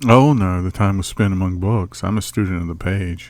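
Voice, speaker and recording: A man puts on a character voice, speaking at a moderate pace with a very deep, low pitch. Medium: video game. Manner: polite, dry.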